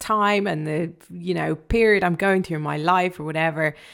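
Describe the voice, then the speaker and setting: In a very clean recording with a silent background, a woman talks at a moderate pace in an ordinary speaking voice. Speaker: radio DJ. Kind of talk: casual chat.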